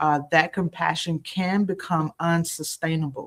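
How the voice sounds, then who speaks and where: Fairly even intonation runs through the speech. It is an ordinary speaking voice. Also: woman. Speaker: ministry trainer and co-host. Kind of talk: live-stream Q&A. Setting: outdoors on the go.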